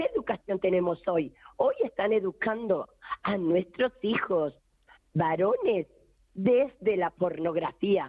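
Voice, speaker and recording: A woman with an Argentine accent speaks very slowly at medium pitch, keeping her loudness very even. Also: ordinary pitch variation. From rural Argentina. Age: 50s. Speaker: feminist activist. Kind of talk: testimony. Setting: phone call.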